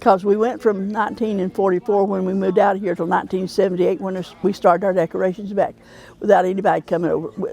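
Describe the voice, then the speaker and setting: With an Appalachian accent, a woman talks very fast in a medium pitch. Her tone is dark and mellow, her intonation fairly even. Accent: Southern Appalachian US. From US South, western North Carolina Smoky Mountains. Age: 80s+. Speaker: cemetery association co-chair. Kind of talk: interview.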